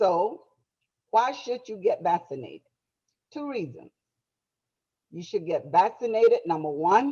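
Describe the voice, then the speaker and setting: A woman's fairly high voice has a dark, mellow tone and vocal fry, with very wide pitch swings and big swings in loudness. She goes at a fairly slow pace with long, frequent pauses. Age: 70s. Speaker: church health presenter. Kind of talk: health presentation.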